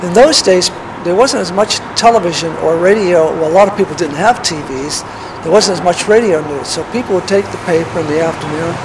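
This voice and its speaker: Over noticeable background noise, a man with an American accent talks fairly quickly at a high pitch, his pitch varying in an ordinary way. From San Francisco, California. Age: 70s. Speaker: retired school teacher. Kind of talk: personal reminiscence. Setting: outdoors on a street corner.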